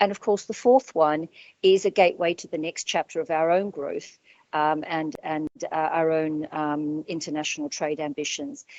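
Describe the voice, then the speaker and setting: With an Australian accent, the speaker moves at a moderate pace with ordinary pitch variation and big swings in loudness. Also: woman, very deep, low pitch for a woman. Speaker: business owner. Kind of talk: panel discussion. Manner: halting.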